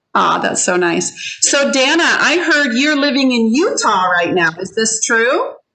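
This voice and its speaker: This woman has a high-pitched, raised, projected voice with an animated tone. Her pitch swings very widely, and her pace is fairly slow. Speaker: ESL teacher. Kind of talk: online class. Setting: video call.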